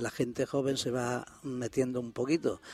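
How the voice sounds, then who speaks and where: A man's dark, mellow tone sits at a medium pitch. He speaks at a fairly slow pace with monotone, flat intonation. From northern Extremadura, Sierra de Gata. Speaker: board member of a regional association. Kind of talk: radio interview.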